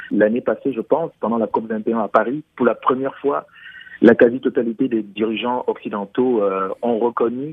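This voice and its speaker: An ordinary speaking voice, this man's sits at a medium pitch and moves at a moderate pace. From Cameroon. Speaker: musician. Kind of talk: interview.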